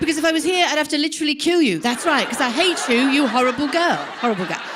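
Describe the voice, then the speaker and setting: Recorded with audible room echo and noticeable background noise, a woman talks with an English accent. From England. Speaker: comedian. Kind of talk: stand-up. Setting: stage with audience. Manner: animated.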